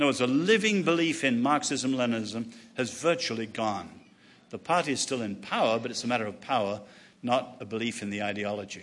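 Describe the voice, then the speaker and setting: A man with a medium pitch talks at a fairly quick pace with ordinary pitch variation, and the room echo is audible. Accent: English. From England. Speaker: author and speaker. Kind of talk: lecture. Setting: stage with audience.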